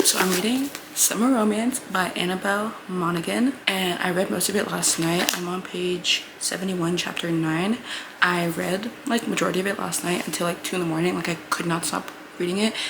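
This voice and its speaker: The speech moves at a fairly quick pace with ordinary pitch variation, heard with audible room echo and noticeable background noise. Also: woman, medium pitch for a woman. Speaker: book vlogger. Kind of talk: casual vlog talk. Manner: animated; soft-spoken.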